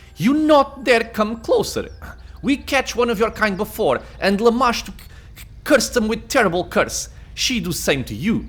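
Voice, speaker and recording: This is a put-on character voice that sounds shaky. The pace is moderate. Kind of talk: broken, simple grammar. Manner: threatening, fist-shaking.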